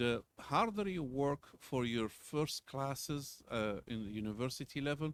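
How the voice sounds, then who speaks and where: At a fairly slow pace and with hardly any pauses, a man with a non-native accent speaks at a medium pitch with lively intonation. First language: not English. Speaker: university lecturer. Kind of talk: lecture. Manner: casual, conversational.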